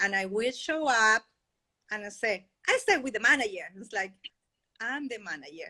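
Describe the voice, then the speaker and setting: A woman's fairly high voice with a Spanish accent, a bright, sharp tone, lively intonation, big swings in loudness and long, frequent pauses. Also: moderate pace. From Chile. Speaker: podcast guest, financial independence advocate. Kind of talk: interview.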